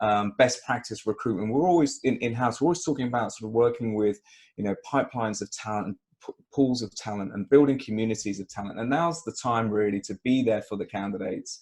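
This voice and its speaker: A man speaks very fast in a British accent. His medium pitch shows ordinary variation. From UK. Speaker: recruitment consultant. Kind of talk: webinar interview. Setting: video call.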